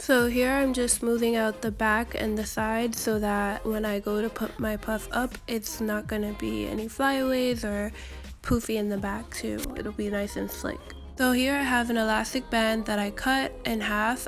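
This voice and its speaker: Music plays behind a woman with a fairly high pitch. She speaks at a moderate pace in a monotone, flat intonation. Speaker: natural hair tutorial creator. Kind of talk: hair tutorial voiceover.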